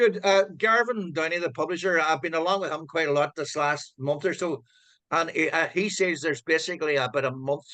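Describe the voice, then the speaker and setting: Speaking with a Donegal accent, a man uses a bright, sharp tone, a fairly high pitch and ordinary pitch variation at a fairly quick pace against a quiet background. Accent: Donegal Irish. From Ireland, County Donegal (Letterkenny). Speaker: author. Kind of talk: casual chat. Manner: halting.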